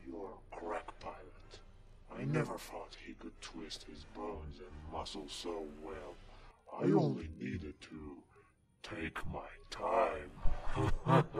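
A man puts on a raspy character voice with a very deep, low pitch and talks at a very slow pace. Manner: menacing, grandiose.

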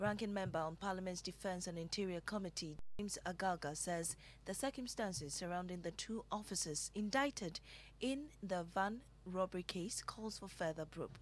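The speaker is a woman with a normal speaking voice at a medium pitch. She keeps a moderate pace with ordinary pitch variation. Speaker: news anchor. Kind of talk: news reading. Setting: studio.

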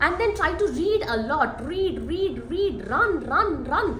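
Over light background noise and audible room echo, a woman speaks at an extremely high pitch with very wide pitch swings. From India, Tamil Nadu. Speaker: energy researcher. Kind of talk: interview. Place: hall. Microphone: camera far.

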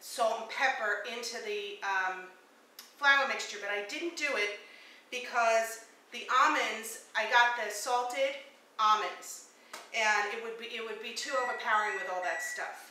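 With audible room echo, a woman talks at a fairly slow pace with big swings in loudness and ordinary pitch variation. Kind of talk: tutorial. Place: kitchen. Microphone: camera far.

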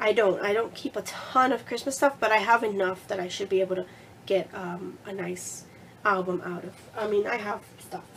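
Amid noticeable background noise, the voice moves at a moderate pace with ordinary pitch variation and big swings in loudness. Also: woman, medium pitch for a woman. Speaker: crafting vlogger. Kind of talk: casual vlog, showing craft supplies. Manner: friendly, chatty, uses many fillers.

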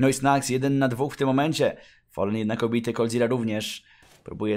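On a very clean recording with a silent background, a man speaks at a medium pitch and a fairly quick pace. His tone is animated. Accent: Polish. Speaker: esports commentator. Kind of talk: live esports commentary, play-by-play of a CS:GO match. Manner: excitable, animated, rapid-fire with bursts of amazement; joking, quips mid-play.

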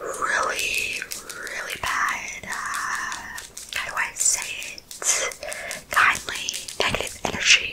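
Very slowly, a woman whispers her words. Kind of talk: soft role-play talk to viewer. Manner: soft close-mic ASMR voice. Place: home room. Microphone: studio mic.

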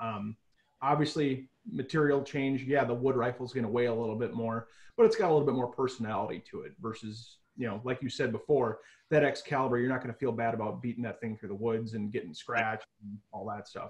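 Over a quiet background, the speaker goes at a very fast pace in a somewhat breathy voice with fairly even intonation. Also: man. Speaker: remote factory product expert. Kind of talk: interview answer. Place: home room. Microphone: video call.

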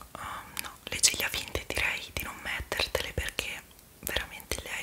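A woman's whispering at a moderate pace. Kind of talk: roleplay addressed to viewer, soft and casual. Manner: soft, hushed ASMR speaking. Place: home room. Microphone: phone near.

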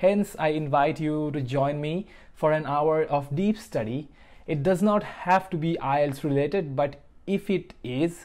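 The pace is fairly slow. The background is quiet. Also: man, ordinary pitch variation. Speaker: study vlogger. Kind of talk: casual vlog chat. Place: home room. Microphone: lapel.

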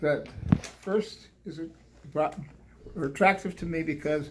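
Amid noticeable background noise, a man talks at high pitch and a fairly slow pace. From Canada. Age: 80s+. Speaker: microbiologist and politician. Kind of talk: speech at art exhibition opening. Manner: scholarly, articulate. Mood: thoughtful, scholarly. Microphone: phone near.

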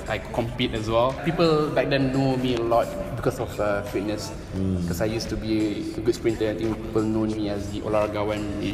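A man talks at a fairly quick pace in a fairly low pitch. Clear music plays in the background. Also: ordinary pitch variation. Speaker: interview guest. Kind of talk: interview answer. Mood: relaxed, smiling. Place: gym. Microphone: camera far.

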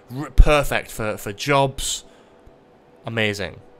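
A man's animated voice with a bright, sharp tone. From Newcastle, northeast England. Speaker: gaming streamer. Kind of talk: casual live gameplay commentary. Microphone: studio mic.

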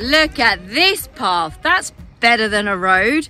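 A woman's raised, projected voice swings very widely in pitch at a fairly slow pace, with a dry sound and no echo. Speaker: hiking vlogger. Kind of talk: casual vlog chat. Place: open country. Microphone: phone near.

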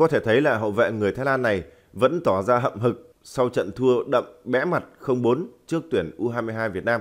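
At a fairly slow pace, a man speaks in a normal speaking voice of medium pitch with ordinary pitch variation. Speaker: football news presenter. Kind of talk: news reading. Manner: formal.

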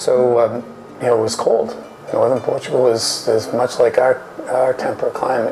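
Faint music plays in the background while a man speaks. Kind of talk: interview answer. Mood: fond, reminiscing. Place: bar.

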